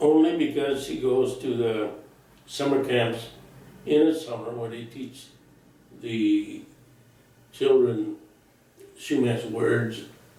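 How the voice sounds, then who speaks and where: With an American accent, a man of medium pitch speaks at a very slow pace with fairly even intonation and long, frequent pauses, amid audible room echo and noticeable background noise. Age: 80s+. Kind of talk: interview. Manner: halting.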